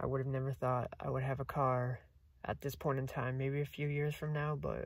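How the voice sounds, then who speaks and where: A somewhat breathy man at a moderate pace, monotone and flat in intonation, with a dry sound with no echo and a quiet background. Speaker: vlogger. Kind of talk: casual vlog chat. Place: car. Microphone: phone near.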